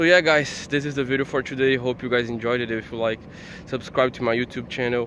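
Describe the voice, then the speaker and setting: A man speaks at a medium pitch in a Portuguese accent. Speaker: YouTuber. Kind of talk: casual vlog. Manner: fast.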